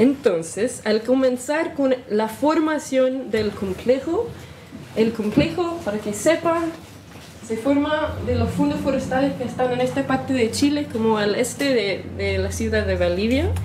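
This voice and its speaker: Lively intonation comes through in an American accent at a fairly slow pace, with audible room echo and noticeable background noise. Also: woman, high pitch for a woman. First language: English (speaking Spanish). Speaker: historian researcher. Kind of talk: lecture. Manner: halting, self-correcting.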